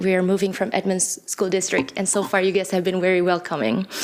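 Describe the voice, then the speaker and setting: Noticeable background noise sits behind a woman speaking with a non-native accent. Her pitch is medium and her pace fairly quick. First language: not English. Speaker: parent giving public comment. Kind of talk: public comment speech. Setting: podium at public board meeting. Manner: halting.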